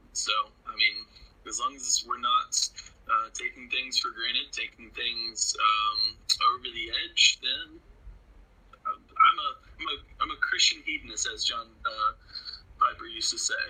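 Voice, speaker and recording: A man's extremely high voice at a fairly slow pace, against noticeable background noise. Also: lively intonation. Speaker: podcast co-host. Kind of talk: casual chat.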